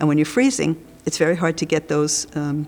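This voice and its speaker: A woman's very deep, low voice at a very fast pace. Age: 70s. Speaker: cancer survivor and patient advocate. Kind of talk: testimony. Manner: conversational.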